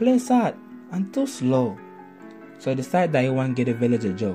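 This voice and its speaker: With music in the background, a man talks in an American accent. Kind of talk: children's story narration.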